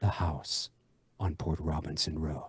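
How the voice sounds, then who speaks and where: A man puts on a dramatic character voice with a very deep, low pitch and fairly even intonation. He speaks at a fairly slow pace. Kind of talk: announcer, ominous. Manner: dramatic, with a pause after 'house'.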